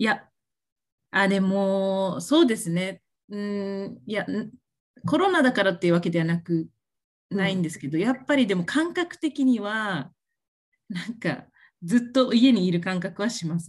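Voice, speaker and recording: Lively in intonation and somewhat breathy, a woman talks at a moderate pace with long, frequent pauses. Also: medium pitch for a woman. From Japan, Okinawa. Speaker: MLM beauty consultant, former occupational therapist. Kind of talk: casual interview.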